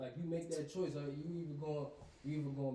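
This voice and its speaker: In a room with audible echo, a man speaks in a fairly high voice with fairly even intonation. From Baltimore, Maryland. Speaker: rapper. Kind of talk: casual chat.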